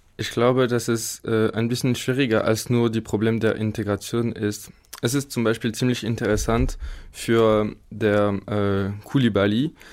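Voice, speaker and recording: A man speaks fairly slowly in a French accent, at medium pitch with flat, monotone intonation. The recording is very clean, with a silent background. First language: French (speaking German). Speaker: engineering student. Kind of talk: studio interview. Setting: studio. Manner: halting.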